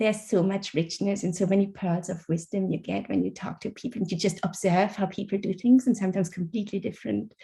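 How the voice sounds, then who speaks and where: A woman talks very fast in a German accent, with fairly even intonation. Her tone is dark and mellow and somewhat breathy. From Germany. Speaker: author. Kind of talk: interview. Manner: halting.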